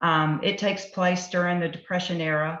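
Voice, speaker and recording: Monotone, flat intonation at a moderate pace, in a Southern US accent. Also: woman. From US South. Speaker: novelist. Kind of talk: author presentation.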